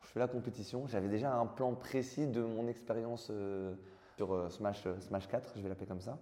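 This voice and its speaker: A man's fairly even intonation at a moderate pace. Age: 20s. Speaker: professional esports player. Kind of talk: interview. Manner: halting, many fillers.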